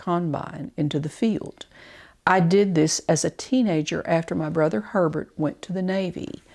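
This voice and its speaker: A woman with an Arkansas accent, fairly low in pitch with ordinary pitch variation, at a moderate pace, in a very clean recording with a silent background. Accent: Southern US (Arkansas). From Arkansas, near Farmington. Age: 70s. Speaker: oral history narrator. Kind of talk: reading aloud. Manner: measured.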